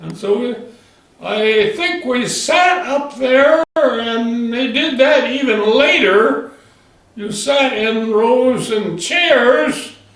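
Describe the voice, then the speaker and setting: In an American accent, a man talks at a very slow pace and an extremely high pitch with ordinary pitch variation, over noticeable background noise. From South Dakota, USA. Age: 80s+. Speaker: retired farmer. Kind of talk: oral history interview answer.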